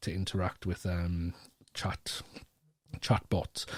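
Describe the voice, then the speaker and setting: A man speaks with a Geordie accent in a dark, mellow tone. The recording is very clean, with a silent background. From North East England. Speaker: education strategist and keynote speaker. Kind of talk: podcast interview answer. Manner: casual, hesitant, many fillers.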